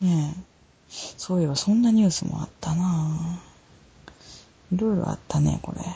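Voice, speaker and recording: Pausing long and often, a woman talks at a moderate pace with a fairly low pitch and ordinary pitch variation. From Ehime, Japan. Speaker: podcast host. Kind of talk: casual chat.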